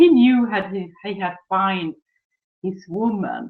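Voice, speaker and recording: Someone speaks at a fairly slow pace with a Swedish accent. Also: woman. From Sweden. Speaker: relationship coach. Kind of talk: webinar presentation.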